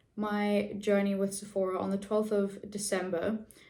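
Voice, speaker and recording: This woman speaks with a South African accent. Her pitch is medium and her pace moderate. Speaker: beauty vlogger. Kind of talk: casual chat.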